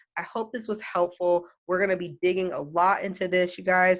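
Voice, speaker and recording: A woman's fairly low-pitched voice in a monotone, flat delivery at a fairly quick pace. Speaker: early childhood education trainer. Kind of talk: tutorial. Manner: fast.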